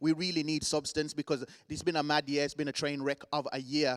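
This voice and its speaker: With a Birmingham accent, a man with a fairly high pitch speaks in an animated tone. The sound is dry and close with no echo. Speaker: event host. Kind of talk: live event hosting.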